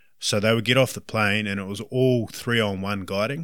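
Fairly low male voice in a New Zealand accent, bright and sharp in tone, with fairly even intonation, in a very clean recording with a silent background. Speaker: hunting guide. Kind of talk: interview. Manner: talkative.

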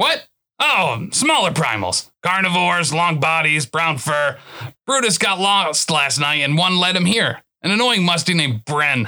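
A man's raspy, put-on character voice, fairly high in pitch, at a moderate pace and very even loudness. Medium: audio drama. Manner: thoughtful, musing, helpful.

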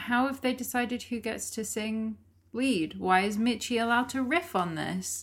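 A woman speaks at a moderate pace in a plain, everyday voice with ordinary pitch variation. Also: fairly high pitch for a woman, very clean recording, silent background. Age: 20s. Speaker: podcast co-host. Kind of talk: casual chat.

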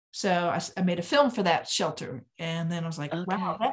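This woman talks at a fairly quick pace with an American accent, her voice somewhat breathy and medium in pitch. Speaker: filmmaker. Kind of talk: interview.

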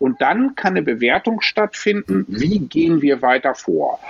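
Talking at a fairly slow pace, a man moves through very wide pitch swings. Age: 50s. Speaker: management consultant and airline pilot. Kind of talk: interview. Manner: hesitant with frequent fillers.

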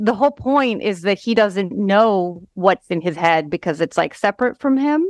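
A woman with an ordinary speaking voice at medium pitch, lively intonation and a moderate pace, in a dry, close sound with no echo and a quiet background. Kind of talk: casual chat.

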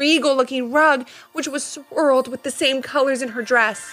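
Music plays in the background as a woman talks at a moderate pace. Her tone is animated. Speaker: podcast storyteller. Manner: animated, storytelling tone with character voices; warm, gentle, directed at kids.

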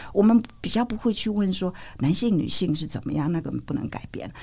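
At a fairly quick pace, a woman speaks with a dark, mellow tone at medium pitch, vocal fry, and lively intonation. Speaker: physician and public health scholar. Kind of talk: interview conversation. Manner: hesitant with fillers and laughter.

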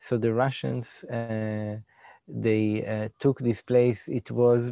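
A man speaks in an Israeli accent with a fairly low, dark, mellow voice and fairly even intonation. The recording is very clean, dry and close, with no echo and a silent background. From Israel, Jerusalem. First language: Hebrew. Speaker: designer and digital event producer. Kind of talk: interview conversation. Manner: halting.

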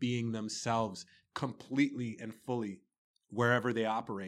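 An ordinary speaking voice from a man with a Canadian accent, medium pitch and moderate pace, on a very clean recording with a silent background. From Toronto, Canada. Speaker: entrepreneur. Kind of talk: casual interview. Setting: studio.

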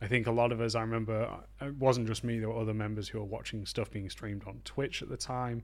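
With a Yorkshire accent, a man rattles off words at a very fast pace in a flat monotone. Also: medium pitch for a man. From northern England, Harrogate, Yorkshire. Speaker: video game level designer and author. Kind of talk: interview.

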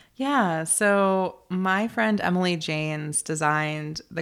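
An ordinary speaking voice with an American accent carries ordinary pitch variation. The recording is very clean, with a silent background. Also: woman. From US South, North Carolina. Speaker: author and podcaster. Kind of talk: interview.

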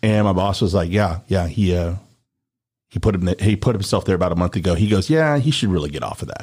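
Very deep, low male speech at a very fast pace with ordinary pitch variation. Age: 40s. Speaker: former radio host, media business owner. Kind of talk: casual chat.

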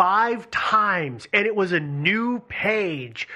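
Against a quiet background, a man speaks in a raised, projected voice at a very slow pace. His tone is bright and sharp, and his intonation lively. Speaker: co-host. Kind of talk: casual chat. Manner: ends statements with rising, questioning intonation.

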